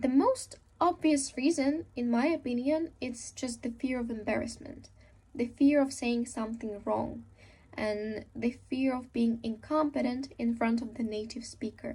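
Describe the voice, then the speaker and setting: With a Russian accent, a woman talks at a fairly slow pace in a dark, mellow tone, her pitch high and her intonation fairly even. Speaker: speaker.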